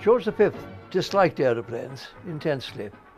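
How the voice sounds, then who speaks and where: A man keeps a fairly slow pace as music plays in the background. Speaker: air show commentator, retrospective narrator. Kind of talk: casual spoken commentary over newsreel footage. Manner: unscripted, hesitant, conversational.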